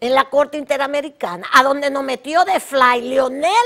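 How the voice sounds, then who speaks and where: A woman with a Dominican accent, high in pitch, at a fairly slow pace over a quiet background. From Dominican Republic. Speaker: political talk show host. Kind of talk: opinionated commentary monologue. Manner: animated. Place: studio.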